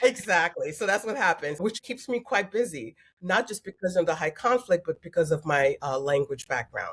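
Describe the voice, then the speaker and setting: Very wide pitch swings run through a woman's somewhat breathy voice, pitched fairly low and delivered at a moderate pace. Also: hardly any pauses. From Queens, New York. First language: French and Haitian Creole. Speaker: family mediator. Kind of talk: interview.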